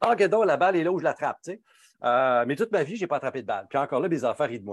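A man with a Quebec accent speaks very fast, his pitch fairly high and his intonation lively. The recording is very clean and silent behind him, the sound dry and close with no echo. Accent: Québécois French. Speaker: pharmacist and speaker. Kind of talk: interview.

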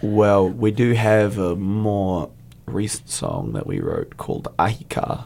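Noticeable background noise sits behind a man with a New Zealand accent. He talks at a very slow pace with a fairly low pitch. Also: fairly even intonation. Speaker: metal guitarist and lead vocalist. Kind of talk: casual interview. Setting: studio.

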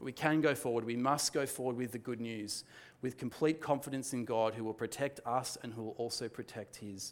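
A man with an Australian accent talks at a fairly quick pace and a medium pitch. His pitch varies in an ordinary way, and the recording is very clean with a silent background. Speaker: pastor. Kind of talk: sermon. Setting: church with congregation. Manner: calm, soft; hesitant, many fillers.

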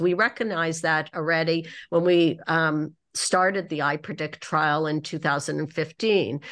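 A woman with a Canadian accent has an unremarkable speaking voice at a fairly low pitch. She talks at a moderate pace against a quiet background. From Canada (Toronto). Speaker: oncologist and clinical trials researcher. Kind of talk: debate.

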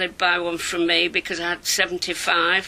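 A woman speaks at a medium pitch, with noticeable background noise in the recording. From northern England, Leeds, Yorkshire. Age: 70s. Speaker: milliner. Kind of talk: personal life story. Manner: animated.

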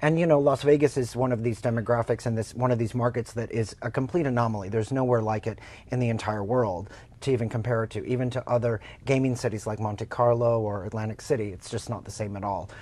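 A man with an American accent talks very fast at a medium pitch, his dark, mellow tone carried on fairly even intonation. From Oklahoma. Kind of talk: casual interview.

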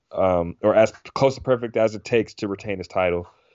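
With ordinary pitch variation, an unremarkable speaking voice talks at a fairly quick pace. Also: man. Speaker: MMA podcast co-host. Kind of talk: casual sports talk podcast.

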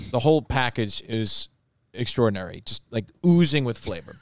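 This man has a plain, everyday voice with an American accent and a medium pitch. He talks at a moderate pace in a dry, close sound with no echo. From Long Island, New York. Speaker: baseball broadcaster. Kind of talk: casual chat. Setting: studio.

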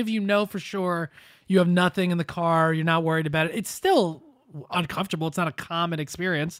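Over a silent background in a very clean recording, a man speaks at a fairly quick pace in a high pitch. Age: 30s. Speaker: podcast host. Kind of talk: casual chat. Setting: studio.

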